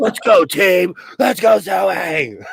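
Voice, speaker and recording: A shouted, put-on character voice with very wide pitch swings. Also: man, high pitch for a man. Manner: hyped-up, screaming cheer.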